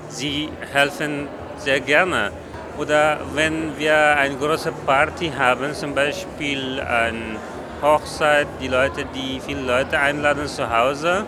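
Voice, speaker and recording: Very slow speech with fairly even intonation comes through noticeable background noise. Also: man, fairly high pitch for a man. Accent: Afghan. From Afghanistan, Kabul. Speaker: festival volunteer. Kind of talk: on-site interview.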